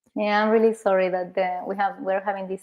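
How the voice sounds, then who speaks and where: Speaking in a Spanish accent, a woman holds a medium pitch. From Argentina. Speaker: therapist. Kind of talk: casual chat. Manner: halting.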